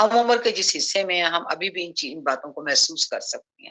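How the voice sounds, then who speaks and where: Lively intonation runs through a plain, everyday voice. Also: woman. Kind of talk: Islamic lecture / sermon (bayan) on early Islamic history. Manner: reflective, advisory, addressing women and young people.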